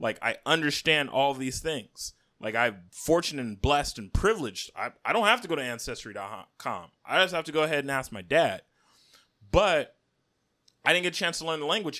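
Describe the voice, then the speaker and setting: Captured in a very clean recording with a silent background, a man with a bright, sharp tone talks at a fairly quick pace, his fairly high pitch moving in very wide swings. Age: 30s. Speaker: podcast host. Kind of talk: casual chat.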